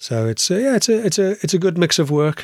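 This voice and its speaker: A man speaks in an unremarkable speaking voice, fairly quick and with lively intonation. The recording is very clean, with a silent background. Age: 50s. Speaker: carpenter and cabinet maker, podcast co-host. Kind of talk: casual chat.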